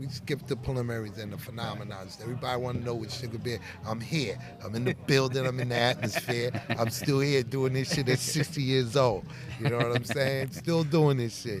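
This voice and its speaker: With music in the background, a man with a New York accent speaks at medium pitch with fairly even intonation. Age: 60s. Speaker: hip-hop artist. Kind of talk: interview. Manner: halting.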